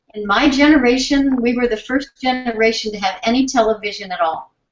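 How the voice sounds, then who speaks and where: Fairly high pitch and ordinary pitch variation from a woman with a normal speaking voice at a moderate pace. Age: 60s. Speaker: sign language researcher and symposium host. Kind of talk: conference presentation closing remarks. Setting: symposium with live audience and interpreters.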